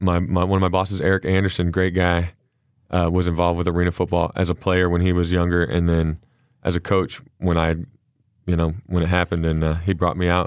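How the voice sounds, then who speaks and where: A man with a very deep, low pitch talks at a fairly quick pace in a Texan accent, his intonation monotone and flat, on a very clean recording with a silent background. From Texas. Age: 30s. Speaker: arena football quarterback. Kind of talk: casual interview. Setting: studio. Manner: halting, many fillers.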